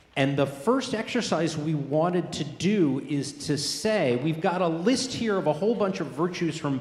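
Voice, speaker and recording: A man with a fairly high pitch talks at a moderate pace with lively intonation and hardly any pauses, amid noticeable background noise and audible room echo. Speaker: professor. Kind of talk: lecture-style discussion. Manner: loud.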